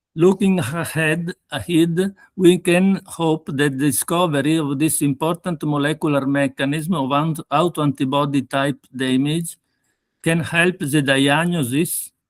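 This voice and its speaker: The intonation stays fairly even in a dry, close sound with no echo, on a very clean recording with a silent background. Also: man, fairly high pitch for a man, fairly slow pace. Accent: Italian. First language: Italian. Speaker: pathologist. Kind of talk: lecture.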